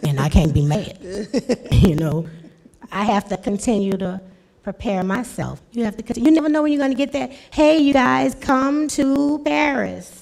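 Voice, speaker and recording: An animated woman talks at a moderate pace with very wide pitch swings around a fairly high pitch. Noticeable background noise runs underneath. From New Orleans. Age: 50s. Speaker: rapper. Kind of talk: panel interview.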